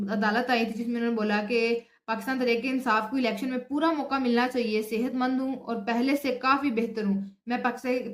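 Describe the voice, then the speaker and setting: With hardly any pauses, a woman speaks at a high pitch in monotone, flat intonation over noticeable background noise. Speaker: news vlogger. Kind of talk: news commentary. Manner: halting with fillers.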